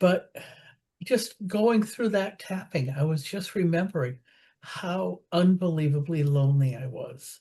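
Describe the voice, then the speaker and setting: Against a quiet background, a woman speaks at a fairly slow pace in a dark, mellow tone that is somewhat breathy, with lively intonation. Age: 70s. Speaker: support group participant. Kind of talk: casual group chat. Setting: video call.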